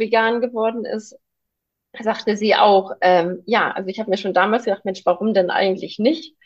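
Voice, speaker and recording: With fairly even intonation, a woman talks at medium pitch in an ordinary speaking voice. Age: 30s. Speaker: vegan nutrition consultant, mother. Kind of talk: casual interview chat.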